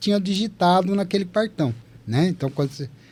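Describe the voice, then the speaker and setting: The speaker is a man with a high pitch. His tone is dark and mellow. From Brazil, Taubaté, São Paulo interior. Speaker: veteran software developer. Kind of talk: casual podcast storytelling.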